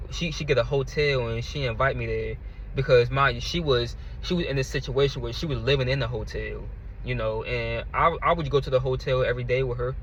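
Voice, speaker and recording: In a room with audible echo, a man talks at a fairly quick pace with an American accent. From Virginia, US. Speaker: YouTuber sharing testimony. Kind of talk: testimony. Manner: repetitive, halting with many fillers.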